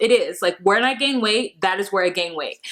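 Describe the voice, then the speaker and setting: A woman speaks with an American accent. Noticeable background noise is present. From Southern California. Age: 30s. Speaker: vlogger. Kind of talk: personal vlog. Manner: casual, conversational.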